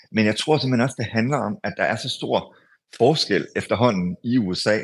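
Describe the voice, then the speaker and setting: The man's voice sits at medium pitch with ordinary pitch variation at a fairly slow pace. The recording is very clean with a silent background. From Denmark. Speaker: foreign correspondent. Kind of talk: radio interview. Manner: halting, many filler sounds.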